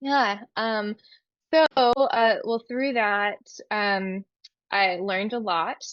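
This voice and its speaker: A woman's fairly high voice with ordinary pitch variation at a very slow pace, with long, frequent pauses and music in the background. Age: 30s. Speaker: endometriosis patient. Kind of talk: testimony. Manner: hesitant, many fillers.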